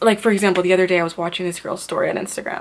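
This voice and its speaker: A soft-spoken woman talks very fast in a monotone, flat delivery. Noticeable background noise sits behind her. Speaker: beauty vlogger. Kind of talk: casual chat. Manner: quiet.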